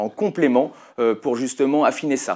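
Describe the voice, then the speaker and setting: This man has a Lyonnais accent and a medium pitch. The recording is very clean, with a silent background. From Lyon area, France (Brindas). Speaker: company founder, entrepreneur. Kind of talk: interview. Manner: hesitant, many fillers.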